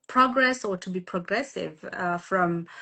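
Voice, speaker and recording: A woman with a South African accent speaks at a very slow pace, with a medium pitch and ordinary pitch variation. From South Africa, Limpopo village. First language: Tshivenda. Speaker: guest speaker on women's empowerment live. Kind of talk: live interview. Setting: Instagram live video. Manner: hesitant, many fillers.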